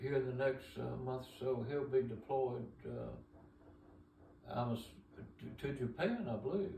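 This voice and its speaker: Speaking at a fairly slow pace with an Alabama accent, a man uses ordinary pitch variation while room echo can be heard. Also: medium pitch for a man. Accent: Southern US (Alabama). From Alabama, US South. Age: 70s. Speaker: retired businessman, great-grandfather. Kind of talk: family interview, life story. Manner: halting, many fillers.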